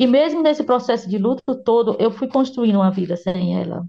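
This woman's voice sits at a fairly high pitch. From Ceará, Brazil. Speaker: journalist and author. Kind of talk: interview. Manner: halting, many repetitions and fillers.

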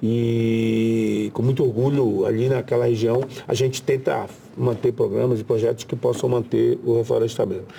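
Against noticeable background noise, a man speaks at a moderate pace with very even loudness. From Brazil, Pará (riverside area near Belém). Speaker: senator. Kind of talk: interview.

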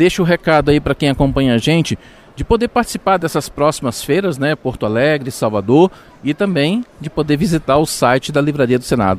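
With a normal speaking voice, a man talks at a fairly quick pace with lively intonation and fairly high pitch, recorded dry and close with no echo. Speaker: radio show host. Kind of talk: radio magazine show with interviews.

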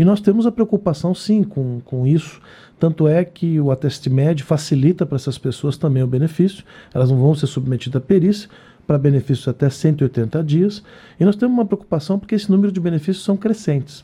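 A man speaks with a dark, mellow tone and lively intonation. His pace is fairly quick. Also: fairly high pitch for a man. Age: 50s. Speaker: head of social security agency. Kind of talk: live radio interview.

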